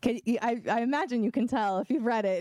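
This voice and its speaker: Over noticeable background noise, a woman with an American accent talks at a moderate pace in a dry, close sound with no echo. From Oklahoma, Eufaula. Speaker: fantasy author. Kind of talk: bookstore event interview.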